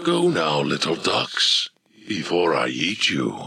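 A man puts on a character voice, very deep and raspy. He speaks at a fairly slow pace. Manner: unhurried, playful, unthreatening.

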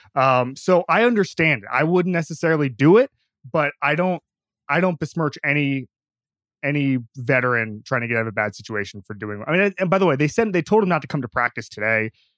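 A plain, everyday voice: a man at a fairly high pitch and fairly quick pace, with lively intonation, in a dry, close sound with no echo. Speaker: sports writer. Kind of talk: casual chat.

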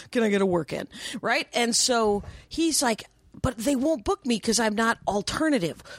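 A woman's ordinary speaking voice, fairly high in pitch, at a moderate pace, dry and close with no echo in a very clean recording with a silent background. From Wisconsin, US. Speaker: stand-up comedian. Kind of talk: casual chat.

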